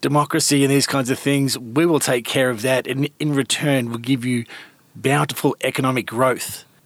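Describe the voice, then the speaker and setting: On a very clean recording with a silent background, a man with a medium pitch talks in an Australian accent at a moderate pace with fairly even intonation. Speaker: podcast host and editor. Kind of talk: interview.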